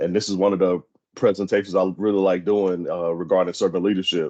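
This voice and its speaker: His voice sits very deep and low. This man speaks with an American accent. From Indianapolis, Indiana. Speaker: sociology professor. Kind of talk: lecture. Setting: video call. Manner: fast; casual, conversational.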